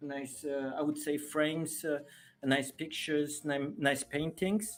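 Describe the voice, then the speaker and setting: Speech comes at a fairly slow pace in a French accent. Music plays in the background. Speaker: live streamer. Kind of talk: live stream chat. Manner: halting, many fillers.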